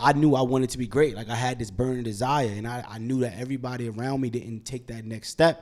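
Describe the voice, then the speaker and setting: At a very fast pace with hardly any pauses, a man speaks at medium pitch with fairly even intonation and big swings in loudness. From Brooklyn, New York. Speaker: real estate investor. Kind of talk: casual interview chat.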